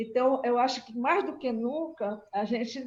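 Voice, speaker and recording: Somewhat breathy, a woman speaks at a fairly slow pace with ordinary pitch variation. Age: 70s. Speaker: agricultural researcher. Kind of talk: panel discussion remarks. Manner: halting, many fillers.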